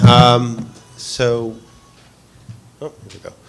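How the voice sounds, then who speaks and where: A man's voice sits at a medium pitch. Noticeable background noise runs behind him. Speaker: transport official. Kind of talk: conference presentation. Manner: hesitant, many fillers.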